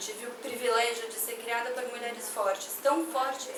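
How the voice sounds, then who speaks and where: There's audible room echo and noticeable background noise as a woman speaks at a high pitch. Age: young. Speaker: activist. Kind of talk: testimony at a public meeting.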